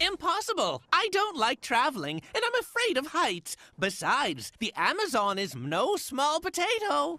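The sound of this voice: A cartoonish character voice speaks at a high pitch. Music plays in the background. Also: moderate pace.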